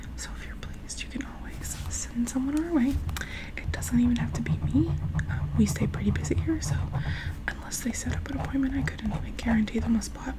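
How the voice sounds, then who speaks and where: Soft-spoken and fairly quick, a woman talks over noticeable background noise. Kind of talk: casual vlog chat. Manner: soft, close ASMR voice. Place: home room. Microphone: earbuds.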